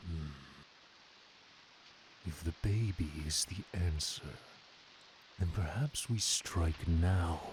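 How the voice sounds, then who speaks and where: A man puts on a character voice, very deep and low in pitch, at a very slow pace. Long, frequent pauses fill the delivery, over clear background noise. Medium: machinima. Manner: arrogant, scheming.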